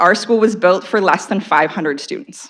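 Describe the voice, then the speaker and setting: In a very clean recording with a silent background, a woman with a Canadian accent speaks at a fairly quick pace and medium pitch, her intonation lively. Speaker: local resident and school council parent. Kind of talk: public comment at council meeting. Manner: loud.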